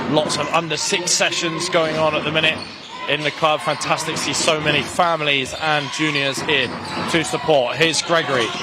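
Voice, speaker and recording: A man with a fairly high pitch speaks at a fairly quick pace in a flat monotone. Audible room echo and noticeable background noise are present. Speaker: basketball commentator. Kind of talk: live commentary. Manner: fast; loud.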